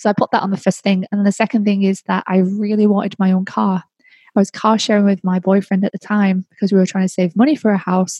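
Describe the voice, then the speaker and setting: A woman with an English accent talks at a very fast pace in a medium pitch, with a monotone, flat intonation and very even loudness. Her tone is dark and mellow, somewhat breathy, and the sound is dry and close, with no echo. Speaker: podcast host. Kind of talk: casual monologue.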